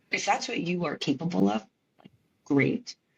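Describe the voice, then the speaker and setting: In a dry, close sound with no echo, a woman with an American accent speaks at a moderate pace, her very deep, low pitch marked by vocal fry. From US East Coast. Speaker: physical therapist. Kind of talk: podcast interview. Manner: casual, hesitant with fillers.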